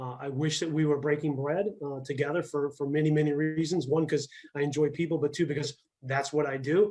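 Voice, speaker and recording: Talking at a fairly quick pace, a man with a Midwestern accent has a fairly high pitch, a dark, mellow tone and fairly even intonation. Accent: US Midwest (Ohio). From Ohio, Akron. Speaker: tourism bureau executive. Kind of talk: speech to a club. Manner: fast.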